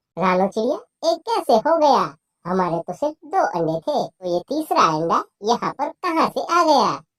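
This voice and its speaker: This man uses a cartoonish character voice at an extremely high pitch with very wide pitch swings. The sound is dry and close with no echo. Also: moderate pace. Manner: gentle, warm.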